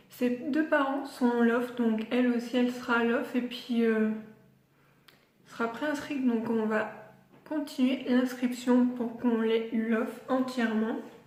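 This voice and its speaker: Very slow and monotone, a woman's high, flat voice comes with audible room echo and noticeable background noise. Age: 20s. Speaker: pet vlogger. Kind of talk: casual vlog. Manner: hesitant, many fillers.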